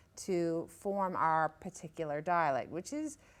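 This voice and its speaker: A woman with a Newfoundland accent and fairly low pitch. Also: very clean recording, silent background. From Newfoundland, Northern Peninsula (Savage Cove, Straits area). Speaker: author. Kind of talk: interview. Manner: halting, many fillers.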